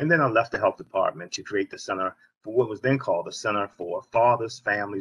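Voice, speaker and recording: A man with an American accent talks at a very fast pace, the sound dry and close with no echo. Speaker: nonprofit founder and CEO. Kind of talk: panel discussion.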